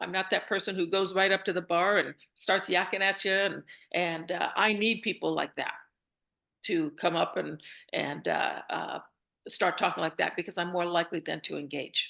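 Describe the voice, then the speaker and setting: Against a quiet background, a woman with a bright, sharp tone speaks at a medium pitch and moderate pace, her intonation fairly even. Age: 60s. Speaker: retiree and screenwriter. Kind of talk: interview answer. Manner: casual, hesitant.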